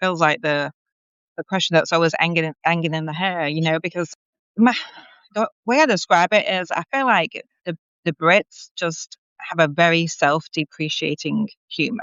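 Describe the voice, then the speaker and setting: At a moderate speed, a woman speaks fairly low, with ordinary pitch variation. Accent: English. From northwest England (Warrington, Cheshire). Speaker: magazine editor and publisher. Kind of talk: interview.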